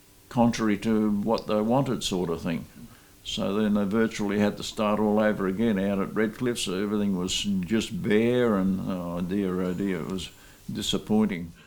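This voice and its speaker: With an Australian accent, a man speaks at a moderate pace in a fairly low pitch, his intonation fairly even. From Australia, Mildura region. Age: 80s+. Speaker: interviewee, descendant of immigrants. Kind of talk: oral history testimony.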